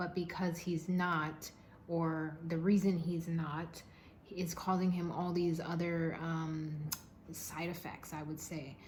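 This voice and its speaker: Through audible room echo, a woman with a fairly low pitch speaks very slowly in a somewhat breathy, monotone, flat way. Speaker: tarot card reader. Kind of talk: tarot reading monologue. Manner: halting, stuttering at times.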